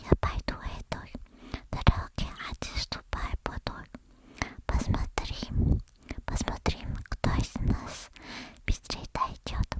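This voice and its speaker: Whispering very slowly, a woman leaves long, frequent pauses, her voice dry and close with no echo amid noticeable background noise. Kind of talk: ASMR fairy tale reading. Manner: soft-spoken, slow.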